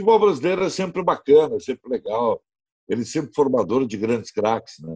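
Heard dry and close with no echo, a man speaks at a fairly quick pace with vocal fry, very wide pitch swings, and big swings in loudness. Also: medium pitch for a man. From Brazil, Rio Grande do Sul (Novo Hamburgo). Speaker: radio sports commentator. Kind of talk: casual interview. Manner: animated.

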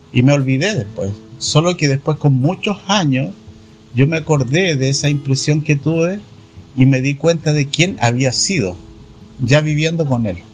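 With lively intonation and a fairly high pitch, a man speaks over noticeable background noise. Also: fairly slow pace. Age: 60s. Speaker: Hare Krishna devotee. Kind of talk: interview.

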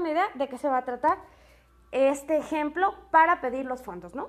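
A woman speaks with ordinary pitch variation. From Mexico, Tepatitlán de Morelos, Jalisco. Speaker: presenter explaining public art. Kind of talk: informal explanatory talk. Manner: casual with fillers and hesitations.

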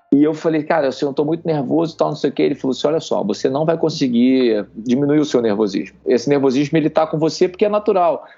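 A man with a fairly high pitch talks at a very fast pace. He leaves hardly any pauses. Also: ordinary pitch variation. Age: 40s. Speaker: army officer and amateur triathlete. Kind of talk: casual chat. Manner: animated.

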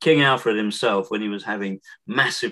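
With a southern English accent, a man speaks at a moderate pace in a fairly low pitch, his bright, sharp tone showing ordinary pitch variation, the sound dry and close with no echo. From Essex, southeast England. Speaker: author and historian. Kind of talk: interview. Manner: halting.

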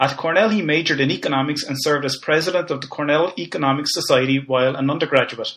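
A man with an Irish accent. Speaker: podcast host and lecturer. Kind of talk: interview.

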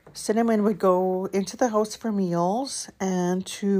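A woman speaks in a normal speaking voice with ordinary pitch variation on a very clean recording with a silent background. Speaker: true crime podcaster. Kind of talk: true-crime narration, read from script, mixed with ad read. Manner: even, measured, serious storytelling pace; occasionally stumbles, clears throat.

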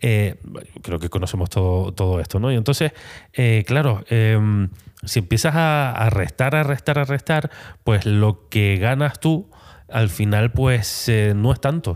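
On a very clean recording with a silent background, the speaker goes at a fairly slow pace with lively intonation, very even loudness, and long, frequent pauses. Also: man, medium pitch for a man. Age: 40s. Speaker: photographer and podcast host. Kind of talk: solo podcast monologue. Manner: halting, many fillers and repetitions.

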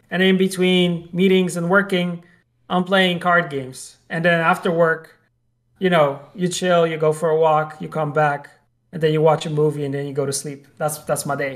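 Here a man with a Polish accent talks in a fairly high pitch with fairly even intonation. The recording is very clean and the background silent. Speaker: video game industry professional and podcast co-host. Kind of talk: casual chat.

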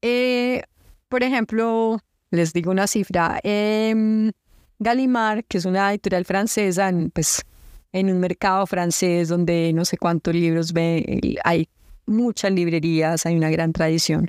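A woman at medium pitch speaks at a very slow pace with ordinary pitch variation and very even loudness, the sound dry and close with no echo on a very clean recording with a silent background. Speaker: poet and book publisher. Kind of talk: interview conversation.

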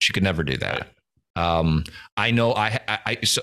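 In a very clean recording with a silent background, a man speaks at a moderate pace with a bright, sharp tone and ordinary pitch variation. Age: 40s. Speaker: podcast co-host, former pastor. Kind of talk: casual chat.

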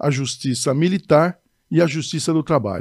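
At a moderate pace, a man with a fairly high pitch speaks in a very clean recording with a silent background. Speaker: judge. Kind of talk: casual chat.

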